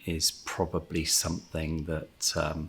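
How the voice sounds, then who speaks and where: A man's very deep, low voice, somewhat breathy, at a very slow pace. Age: 70s. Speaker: heart patient. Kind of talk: testimony. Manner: halting, many fillers.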